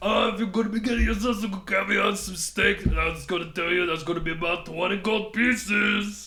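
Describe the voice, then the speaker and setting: A man puts on a high-pitched character voice, talking fairly quickly. He hardly pauses, over light background noise. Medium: actual play. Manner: pushy, teasing salesman.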